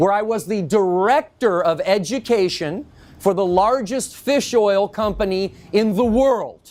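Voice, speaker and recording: A loud, animated man speaks at a fairly slow pace in a high voice. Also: ordinary pitch variation. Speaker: industry educator giving a lecture. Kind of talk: lecture. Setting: in-store talk with live audience.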